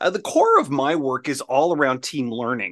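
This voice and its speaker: Over a quiet background, a man talks at a moderate pace with lively intonation in an ordinary speaking voice. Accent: Canadian. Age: 40s. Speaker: professional speaker and team-building consultant. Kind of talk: casual interview chat. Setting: his own studio, video call.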